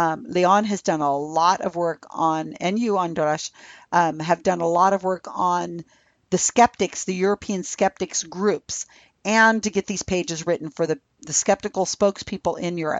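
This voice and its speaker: A woman with a fairly low pitch, ordinary pitch variation and a moderate pace. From California. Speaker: Wikipedia editing project founder. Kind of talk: interview. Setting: remote call.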